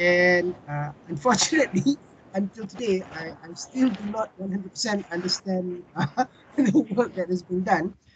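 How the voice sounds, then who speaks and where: A man's high voice at a fairly slow pace, with ordinary pitch variation, big swings in loudness and light background noise. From Malaysia. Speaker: university dean and research coordinator. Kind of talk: webinar remarks. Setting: video call. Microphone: video call.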